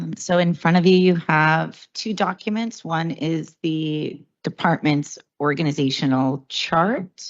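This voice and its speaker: A woman's very deep, low voice at a very slow pace, with ordinary pitch variation. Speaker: city health department director. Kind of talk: budget presentation. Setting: council budget hearing, live streamed.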